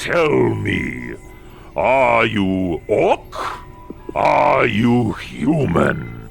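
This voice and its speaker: Clear music plays behind a man doing a put-on character voice at a very slow pace. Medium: actual play. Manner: commanding, intense.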